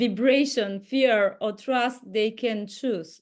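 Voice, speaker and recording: Pitch varies in an ordinary way. The speaker has a non-native accent. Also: woman. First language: not English. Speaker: inner dance teacher. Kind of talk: group video call sharing. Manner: halting.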